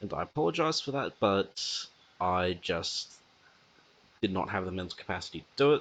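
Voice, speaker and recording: A man speaks quietly in a very deep, low pitch. His pace is moderate. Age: young. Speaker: podcast host. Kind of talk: casual podcast monologue.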